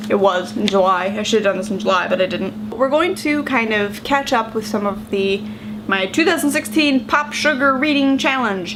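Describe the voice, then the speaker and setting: Against noticeable background noise and audible room echo, a woman with an American accent speaks at a moderate pace in a fairly high voice. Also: lively intonation. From United States. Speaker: book vlogger. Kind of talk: casual vlog talk. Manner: conversational, many fillers.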